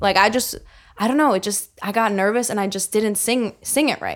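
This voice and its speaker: In a very clean recording with a silent background, a woman with an American accent and an unremarkable speaking voice talks at a fairly quick pace, her medium pitch showing ordinary variation. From central New Jersey, US. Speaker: singer-songwriter. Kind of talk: casual chat.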